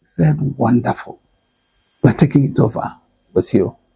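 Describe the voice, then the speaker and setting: A man speaks with a Nigerian accent. His intonation is lively. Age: 80s+. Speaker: lecturer and author. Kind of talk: interview answer.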